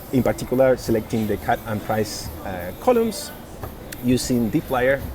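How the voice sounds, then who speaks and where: Noticeable background noise runs under this recording. A man speaks at a medium pitch. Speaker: data science instructor. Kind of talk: tutorial. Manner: halting.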